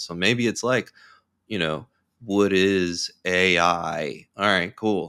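A man with a very deep, low pitch and a bright, sharp tone is heard on a very clean recording with a silent background. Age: 40s. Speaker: director of content, marketing guest. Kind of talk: interview, casual professional chat.

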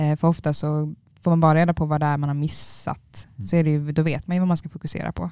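A woman's very deep, low voice with a dark, mellow tone at a very fast pace. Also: fairly even intonation. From Trelleborg, Skåne. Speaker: university student. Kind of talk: casual chat.

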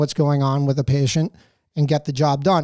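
On a very clean recording with a silent background, a man with a fairly high pitch and a dark, mellow tone speaks at a moderate pace. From New Jersey, US. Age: 30s. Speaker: doctor and movie podcaster. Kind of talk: casual interview chat. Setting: studio.

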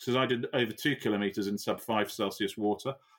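In a very clean recording with a silent background, a man with a Yorkshire accent speaks at a fairly quick pace. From Yorkshire, northern England. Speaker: amputee ice swimmer and triathlete. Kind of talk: interview conversation.

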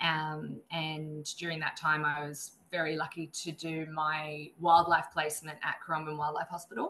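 A woman with an Australian accent has a very deep, low pitch and a bright, sharp tone. She is monotone and flat, at a moderate pace with hardly any pauses. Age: 30s. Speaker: wildlife vet nurse and conservationist. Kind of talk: interview.

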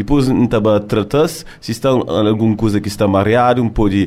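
Speaking with a dark, mellow tone, a man keeps a fairly low pitch and ordinary pitch variation. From France, Cape Verdean family. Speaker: contest coordinator. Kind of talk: casual interview. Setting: studio.

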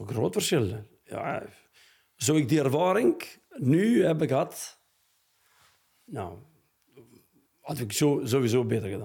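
Speaking very slowly in an Albanian accent, a man with vocal fry and a dark, mellow tone holds a medium pitch with very wide pitch swings, big swings in loudness and long, frequent pauses. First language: Albanian (speaking Dutch). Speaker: football coach. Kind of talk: interview. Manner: halting.

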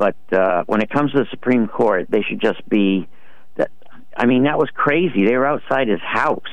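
A man's ordinary speaking voice at a medium pitch, with lively intonation, a moderate pace and very even loudness. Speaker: caller. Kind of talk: casual chat. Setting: phone call.

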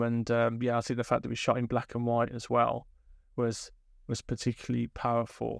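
A man with a Birmingham accent speaks at a fairly quick pace. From inner city Birmingham, England. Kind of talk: interview. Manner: hesitant, many fillers.

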